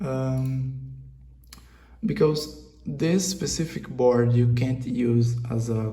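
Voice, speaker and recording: Audible room echo surrounds a man speaking with a Brazilian accent. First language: Portuguese. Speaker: hobbyist maker, channel owner. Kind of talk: casual video vlog, tutorial-like. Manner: halting, with many fillers and repetitions.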